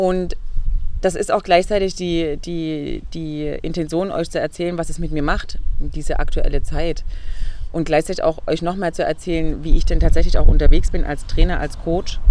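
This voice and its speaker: Noticeable background noise plays as a woman speaks at a moderate pace. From Saxony, Leipzig. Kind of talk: interview. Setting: outdoors in a garden.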